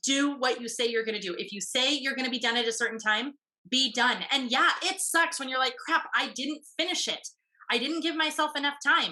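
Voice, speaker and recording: A woman speaks in a raised, projected voice, high in pitch with a bright, sharp, animated tone. She goes at a fairly quick pace with ordinary pitch variation. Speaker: podcast host and business coach. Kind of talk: group coaching call. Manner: fast.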